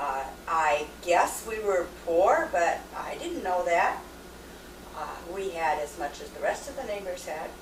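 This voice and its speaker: Amid noticeable background noise and audible room echo, a woman with an American accent speaks with very wide pitch swings. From US Pacific Northwest, Washington State. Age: 50s. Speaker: mother interviewed about her life. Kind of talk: oral history interview. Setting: home video recording. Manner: hesitant, many fillers.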